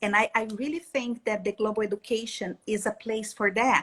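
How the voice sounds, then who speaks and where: At a fairly slow pace, a woman speaks with a Brazilian accent at a fairly high pitch. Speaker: education specialist. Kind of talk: live interview. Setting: live stream. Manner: halting, with fillers.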